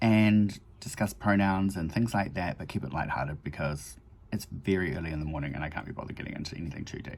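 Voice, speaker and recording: In a New Zealand accent, a man talks at a very fast pace in a very deep, low voice. The recording is very clean, with a silent background. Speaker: makeup vlogger. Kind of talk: casual chat tutorial. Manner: relaxed, rambling with fillers.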